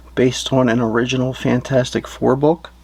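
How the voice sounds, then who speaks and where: A man's medium-pitched voice at a fairly slow pace. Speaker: professional wrestler and comic book seller. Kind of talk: ASMR-style product narration, casual talk to camera. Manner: quiet, relaxed, reserved, soft-spoken.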